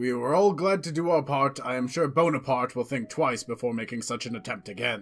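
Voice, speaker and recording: A man speaks in a put-on character voice at a medium pitch, with hardly any pauses. His pace is fairly quick, and faint music plays in the background. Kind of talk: dramatic reading, character dialogue.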